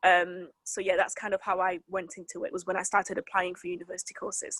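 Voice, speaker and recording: Speaking at a very fast pace, a woman holds a medium pitch with monotone, flat intonation. The sound is dry and close with no echo. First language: French. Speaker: weather presenter and journalist. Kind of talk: interview. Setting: sit-down interview.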